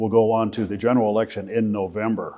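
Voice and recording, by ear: The voice has a slightly mellow tone and moves at a moderate pace. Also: man.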